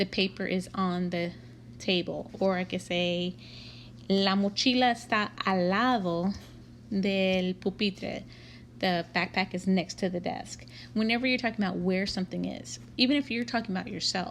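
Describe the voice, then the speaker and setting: In a Texan accent, a woman talks at a moderate pace with medium pitch and lively intonation. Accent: Texan American English. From Texas, Waco. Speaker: Spanish teacher. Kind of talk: lecture. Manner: casual.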